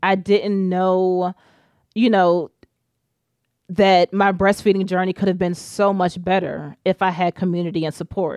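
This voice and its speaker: A woman's flat, monotone voice at medium pitch and a fairly slow pace, with an American accent, over a quiet background. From Richmond, Virginia, US. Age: 30s. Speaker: doula and breastfeeding support moderator. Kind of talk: casual interview chat. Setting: podcast recording.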